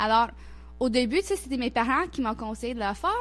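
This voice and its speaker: A woman with an English-Canadian accent talks over music in the background. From Nova Scotia, Canada (Halifax). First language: English (speaking French). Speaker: intercultural organization worker. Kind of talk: radio interview. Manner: halting, many repetitions and hesitations.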